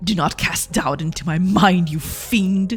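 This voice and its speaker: In a put-on character voice, a female-sounding speaker with a medium pitch talks at a fairly slow pace while music plays clearly in the background. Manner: stern, dramatic.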